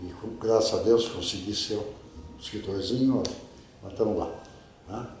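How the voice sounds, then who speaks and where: A man talks with fairly even intonation and long, frequent pauses. Room echo is audible, and background noise is noticeable. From Brazil, Piracicaba (São Paulo interior). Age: 70s. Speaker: journalist and writer. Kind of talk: interview. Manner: conversational, with hesitations.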